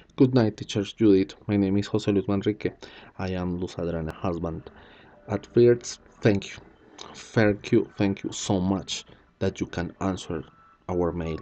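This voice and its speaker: Against a quiet background, a man with a fairly low voice and a Spanish accent speaks at a fairly slow pace, his loudness swinging widely. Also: fairly even intonation. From Colombia. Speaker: teacher. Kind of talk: video explanation. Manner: halting.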